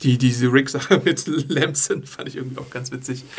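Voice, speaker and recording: A man at medium pitch speaks with fairly even intonation over noticeable background noise. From USA. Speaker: podcast host and news writer. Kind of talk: casual chat. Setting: studio.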